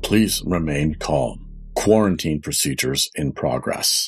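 Booming in a very deep, low pitch, a man uses a put-on character voice at a fairly slow pace. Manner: calm, authoritative.

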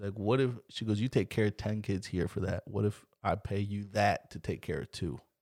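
A man with an American accent has an ordinary speaking voice, fairly low in pitch with fairly even intonation. He goes at a moderate pace with hardly any pauses, in a very clean recording with a silent background. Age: 20s. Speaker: podcast host. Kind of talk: casual chat. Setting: home closet studio.

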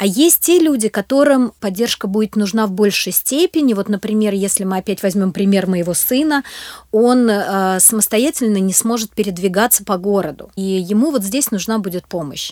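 A woman speaks in an ordinary speaking voice at a moderate pace. Her medium pitch carries lively intonation. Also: dry, close sound with no echo. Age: 40s. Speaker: charity program manager. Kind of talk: interview.

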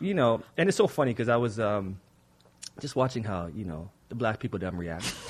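This man has a normal speaking voice at medium pitch. He talks at a fairly quick pace with lively intonation. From Toronto, Canada. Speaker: poet and playwright. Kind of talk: casual interview chat.

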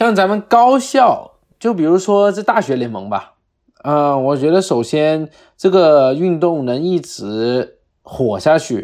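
Speaking at a very slow pace, a man with a fairly high pitch lets his voice swing very widely up and down. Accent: Cantonese. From Guangdong, China (Harbin parents). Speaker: American football player. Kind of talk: casual chat.

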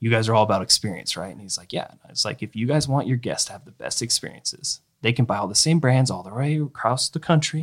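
This man speaks at a very fast pace with an American accent and a medium pitch. His voice is somewhat breathy, with ordinary pitch variation. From eastern Washington, US. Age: 30s. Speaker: golf apparel entrepreneur. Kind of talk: casual interview.

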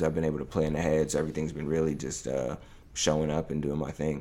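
In an American accent, a man talks at a very fast pace with a very deep, low pitch. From New York. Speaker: clothing brand founder. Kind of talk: casual interview.

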